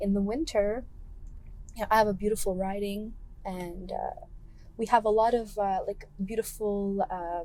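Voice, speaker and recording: Soft-spoken and dark, mellow in tone, the voice moves at a moderate pace with fairly even intonation and long, frequent pauses. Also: woman, medium pitch for a woman. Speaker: political candidate. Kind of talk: casual chat. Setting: in a car. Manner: quiet.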